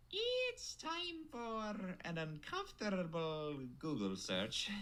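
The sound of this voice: Over light background noise, a cartoonish character voice speaks at a very slow pace. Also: female-sounding voice.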